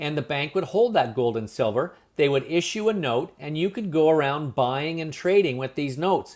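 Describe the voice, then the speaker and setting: A man's fairly high-pitched voice with lively intonation, in a very clean recording with a silent background. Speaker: business presenter. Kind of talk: sales pitch. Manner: fast.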